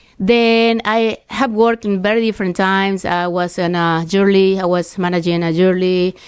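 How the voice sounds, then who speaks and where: With a Spanish accent, a woman speaks at a moderate pace and medium pitch with fairly even intonation, hardly any pauses, and a quiet background. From Mexico, Tampico. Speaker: real estate agent. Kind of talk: interview.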